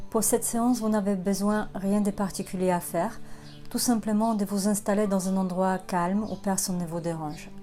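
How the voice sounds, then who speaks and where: With music in the background, a woman speaks in a Polish accent at a medium pitch with monotone, flat intonation. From Poland. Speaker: sophrologist, hypnotherapist. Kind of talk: guided relaxation session. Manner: calm, slow, soft-spoken.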